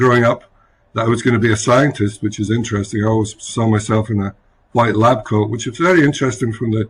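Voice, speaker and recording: A man with a Scottish accent talks at a very fast pace in a somewhat breathy voice with ordinary pitch variation, the background quiet. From Scotland, rural village. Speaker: chief scientific officer. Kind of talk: interview.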